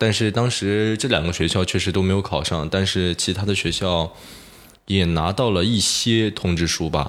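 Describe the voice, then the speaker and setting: A man with a very deep, low pitch speaks at a moderate pace, his loudness very even and his pitch varying in an ordinary way. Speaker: broadcasting student. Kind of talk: casual chat.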